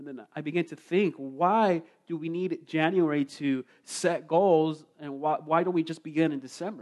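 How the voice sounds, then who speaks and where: In an unremarkable speaking voice, a man talks at a moderate pace with a fairly high pitch. His intonation is fairly even, though the loudness swings widely. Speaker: sermon interpreter. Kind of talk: interpreted sermon. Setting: church with congregation.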